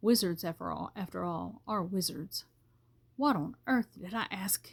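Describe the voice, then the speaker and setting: Her voice somewhat breathy, a woman delivers her words at a moderate pace. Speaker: grandmother reading aloud. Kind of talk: audiobook reading of a novel.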